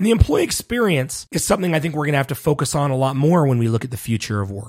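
A man with a Western US accent speaks very fast, his fairly high pitch carrying lively intonation. His voice is somewhat breathy, in a very clean recording with a silent background. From Utah (Salt Lake City). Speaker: podcast host, HR professional. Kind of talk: casual monologue.

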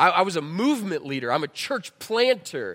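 A man at a moderate pace, his pitch swinging very widely, on a very clean recording with a silent background. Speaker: pastor. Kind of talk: sermon. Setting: church.

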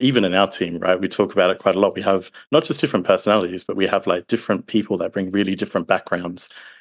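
A very fast speaker with an Australian accent, ordinary pitch variation, and a quiet background. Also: man. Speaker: support engineer.

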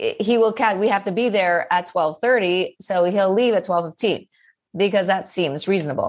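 Against a quiet background, a woman with an American accent talks at a moderate pace and a medium pitch, with ordinary pitch variation, very even loudness and a plain, everyday voice. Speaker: ADHD coach and college lecturer. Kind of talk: interview conversation. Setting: remote call.

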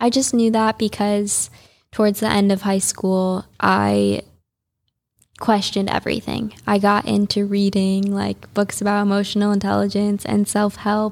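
A woman with an American accent speaks at medium pitch in a monotone, flat intonation. Her loudness stays very even on a very clean recording with a silent background. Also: moderate pace. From US Midwest, Chicago suburbs. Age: 20s. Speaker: yoga teacher and influencer. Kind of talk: interview. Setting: studio.

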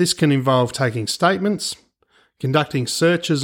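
In an Australian accent, the speaker talks at a moderate pace with ordinary pitch variation on a very clean recording with a silent background. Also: man. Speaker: private investigator and podcast host. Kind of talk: scripted podcast narration.

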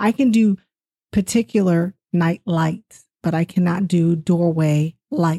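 A woman with an American accent talks at a very slow pace in a fairly low pitch with ordinary pitch variation, her voice somewhat breathy with a dark, mellow tone and very even loudness, the sound dry and close with no echo. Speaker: paranormal witness. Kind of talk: casual chat.

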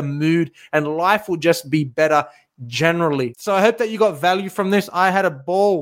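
In a very clean recording with a silent background, a man speaks at a moderate pace with a high pitch. His tone is animated, with ordinary pitch variation. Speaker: fitness coach podcaster. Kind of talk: solo monologue podcast, motivational talk. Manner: animated, motivational, casual.

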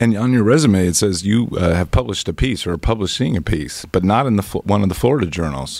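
A man talks at a fairly quick pace with hardly any pauses and a fairly low pitch with vocal fry. His pitch swings very widely. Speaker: podcast co-host. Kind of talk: interview.

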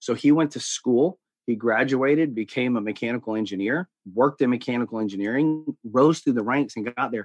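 Speaking with an American accent and ordinary pitch variation, the voice sounds dry and close with no echo over a quiet background. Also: man. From US South. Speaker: life coach. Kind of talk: casual chat.

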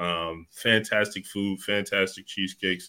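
A man with an American accent speaks at a fairly slow pace in a very deep, low pitch. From Ohio, Youngstown area. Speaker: science center executive director. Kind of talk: casual interview.

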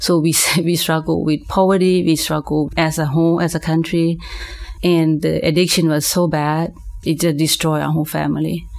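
With a Lao accent, a woman speaks at a moderate pace in a very deep, low pitch. Her intonation is flat and monotone, her loudness very even. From Laos. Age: 40s. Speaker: minister. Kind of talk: testimony.

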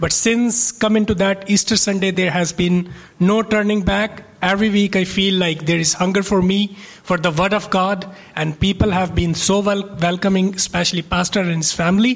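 There is noticeable background noise as a man speaks in a high pitch at a moderate pace. His intonation is fairly even, and his loudness stays very even. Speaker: church member. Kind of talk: testimony. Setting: church.

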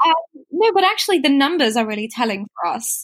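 A woman speaks fairly quickly in a somewhat breathy voice. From Singapore, Indian family. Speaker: fashion rental app founder. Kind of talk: interview.

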